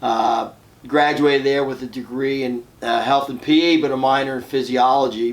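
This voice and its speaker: A man with a Philadelphia accent speaks at a medium pitch and moderate pace over noticeable background noise. His intonation is monotone and flat. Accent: Philadelphia-area American English. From US Northeast, suburban Philadelphia, Pennsylvania. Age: 60s. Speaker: fitness club owner and entrepreneur. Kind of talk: podcast interview. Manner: conversational, with frequent fillers.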